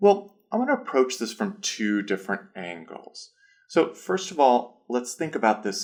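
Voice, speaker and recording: This man speaks with a Midwestern American accent, his pitch swinging very widely. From US Midwest, Illinois. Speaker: pronunciation teacher. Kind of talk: educational talk.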